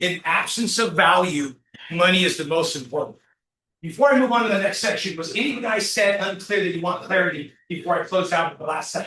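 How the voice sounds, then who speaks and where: Speaking at a fairly quick pace, a man talks in a high pitch. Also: ordinary pitch variation. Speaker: business workshop speaker. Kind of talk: interactive workshop talk. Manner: animated.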